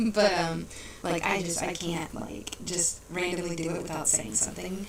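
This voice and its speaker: A soft-spoken woman talks at a fairly quick pace and fairly low pitch, with audible room echo and noticeable background noise. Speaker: podcast host and wrestling roleplayer. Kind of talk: casual chat. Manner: quiet, soft-spoken. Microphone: mic sometimes sounds far away.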